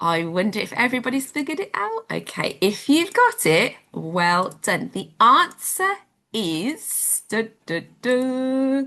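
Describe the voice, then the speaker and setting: A woman with a British accent and a bright, sharp tone. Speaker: home education teacher. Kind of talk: live online children's lesson. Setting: live stream with chat. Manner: whispering.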